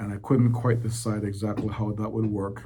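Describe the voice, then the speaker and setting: Somewhat breathy, dark, mellow delivery in a monotone, flat manner at a moderate pace, with audible room echo. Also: man. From Belize. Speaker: economic development director. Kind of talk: interview. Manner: halting, many fillers.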